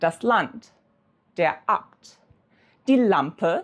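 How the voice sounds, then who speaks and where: A woman speaks in a plain, everyday voice at medium pitch with lively intonation. The recording is very clean, with a silent background. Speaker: language teacher. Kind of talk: educational tutorial to camera.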